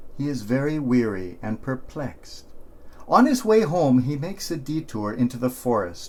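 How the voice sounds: The speaker reads in a natural reading voice.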